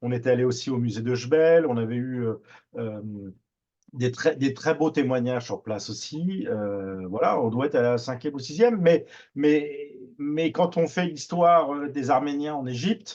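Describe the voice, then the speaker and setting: Fairly high-pitched man with a Parisian accent and lively intonation, moderate pace, quiet background. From Paris, France. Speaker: TV producer. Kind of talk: radio interview. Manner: hesitant, many fillers and repetitions.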